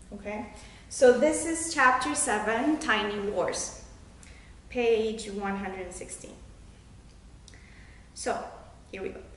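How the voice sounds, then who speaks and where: Over noticeable background noise, a woman with a fairly high pitch and lively intonation talks at a very slow pace with long, frequent pauses. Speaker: children's book author. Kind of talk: casual author introduction to camera, talking about her book.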